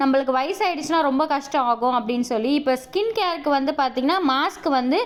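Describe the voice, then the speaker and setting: A woman speaks with a high voice. Her pitch rises and falls in an ordinary way. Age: 20s. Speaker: homemaker vlogger. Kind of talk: casual vlog talk to camera.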